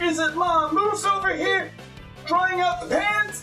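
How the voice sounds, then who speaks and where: A put-on character voice talks fairly slowly over clear music in the background. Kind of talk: improvised children's book reading.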